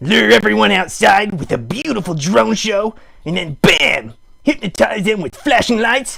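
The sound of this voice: A man puts on a cartoonish character voice, high-pitched with a bright, sharp tone and a slightly husky edge. He speaks at a fairly slow pace with lively intonation and vocal fry.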